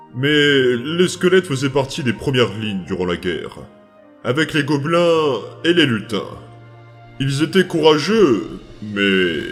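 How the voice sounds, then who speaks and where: With faint music in the background, a man puts on a character voice at a fairly high pitch, moving at a fairly slow pace with long, frequent pauses. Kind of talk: narration of a journal. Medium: dub.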